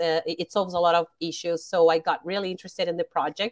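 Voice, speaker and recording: A woman with a Portuguese accent speaks at a fairly low pitch with fairly even intonation. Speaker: crypto community manager. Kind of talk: interview. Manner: halting.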